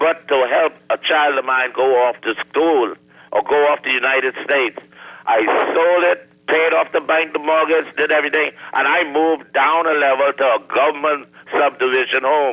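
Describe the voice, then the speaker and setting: Against noticeable background noise, a man speaks at a moderate pace with a fairly high pitch, fairly even intonation and very even loudness. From Bahamas. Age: 70s. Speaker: caller. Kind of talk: call-in talk radio.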